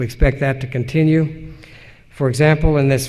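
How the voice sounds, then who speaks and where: Recorded with audible room echo, a man with a fairly high pitch and an American accent speaks in a monotone with flat intonation. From Utah, Salt Lake Valley. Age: 60s. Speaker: historian, professor. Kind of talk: lecture Q&A. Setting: conference stage with audience. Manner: measured, some hesitations.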